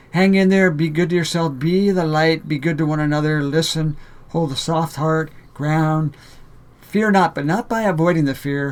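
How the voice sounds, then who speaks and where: The man's pitch is fairly high and his intonation fairly even. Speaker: spiritual video blogger. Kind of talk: monologue to camera. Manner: fast; halting with fillers.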